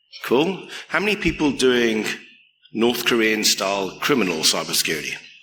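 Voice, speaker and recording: A man with a medium pitch speaks in a bright, sharp tone at a moderate pace, with very wide pitch swings and very even loudness. There is audible room echo. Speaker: security researcher, keynote speaker. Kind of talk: conference keynote. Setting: stage with audience.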